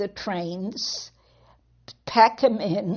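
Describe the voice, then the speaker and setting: Her voice is somewhat breathy. The woman speaks at a very slow pace. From Poland. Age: 70s. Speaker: Holocaust survivor. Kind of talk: testimony.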